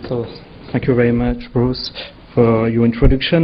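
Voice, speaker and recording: A man with a French accent at a fairly quick pace, with noticeable background noise. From France. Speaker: legal affairs executive. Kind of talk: conference panel presentation. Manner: hesitant.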